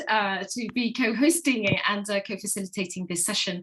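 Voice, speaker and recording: A woman speaks in an English accent at a moderate pace. Her pitch varies in an ordinary way. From England. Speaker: facilitator. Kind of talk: online panel moderation. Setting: video call.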